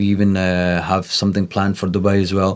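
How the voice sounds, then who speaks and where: Speaking at a fairly low pitch, a man keeps a monotone, flat intonation. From Scotland, Scottish Pakistani. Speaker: content creator and influencer boxer. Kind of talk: interview.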